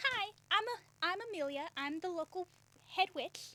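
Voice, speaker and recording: A woman's squeaky, put-on character voice at an extremely high pitch and moderate pace. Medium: actual play. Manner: casual, breezy.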